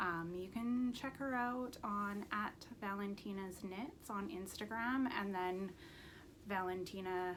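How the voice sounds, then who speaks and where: At a very slow pace, a woman speaks at a medium pitch with ordinary pitch variation, and room echo is audible. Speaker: knitting podcaster. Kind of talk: casual chat. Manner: casual with many fillers.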